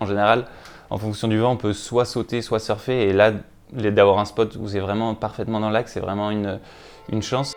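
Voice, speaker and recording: A monotone, flat delivery at a fairly quick pace. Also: man. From northern France, Wissant coast. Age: 20s. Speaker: professional windsurfer. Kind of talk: interview monologue. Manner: hesitant, many fillers.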